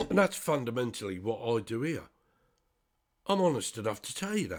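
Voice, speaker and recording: On a very clean recording with a silent background, a man with an English accent and medium pitch talks at a fairly quick pace with very wide pitch swings. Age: 60s. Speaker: spiritual commentator. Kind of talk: monologue. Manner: halting.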